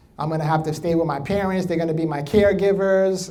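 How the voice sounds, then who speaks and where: A high-pitched man with a New York accent and an animated tone, plus audible room echo. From New York, the Bronx. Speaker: motivational speaker. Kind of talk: keynote speech.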